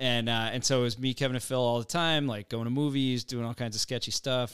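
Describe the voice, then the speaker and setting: A plain, everyday voice at a fairly quick pace, fairly even in intonation with hardly any pauses, on a very clean recording with a silent background. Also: man. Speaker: podcast co-host. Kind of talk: casual chat. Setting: studio.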